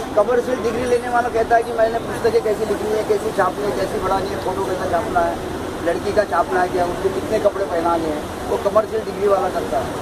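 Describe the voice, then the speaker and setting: A man talks in a high pitch with ordinary variation, at a moderate pace with hardly any pauses. Noticeable background noise runs beneath him. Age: 60s. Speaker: tea vendor and author. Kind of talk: interview, life story.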